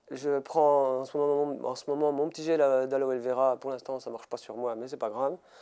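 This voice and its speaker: A man's fairly high voice, dark and mellow in tone, on a very clean recording with a silent background. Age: 30s. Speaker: motivational speaker and mental coach. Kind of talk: interview. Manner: halting, many hesitations.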